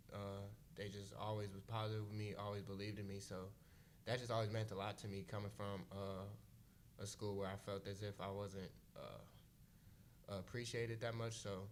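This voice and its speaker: A man talks at a moderate pace in a fairly low pitch, with monotone, flat intonation. Long pauses come often, and room echo is audible. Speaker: college basketball player. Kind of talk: press conference.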